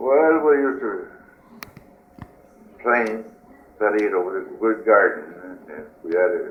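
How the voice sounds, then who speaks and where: Over noticeable background noise and audible room echo, a man with an Acadian accent speaks fairly slowly, with long, frequent pauses and big swings in loudness. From New Brunswick, Acadian Canada. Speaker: war veteran. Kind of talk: oral history interview. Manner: halting.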